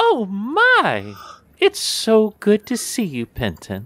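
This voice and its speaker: A man performs a put-on character voice. He talks at a very slow pace. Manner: warm, gushing.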